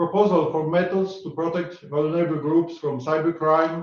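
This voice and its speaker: In a Polish accent, a man speaks at a high pitch. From Poland. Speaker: academic conference organizer. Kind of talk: formal opening speech. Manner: formal; halting.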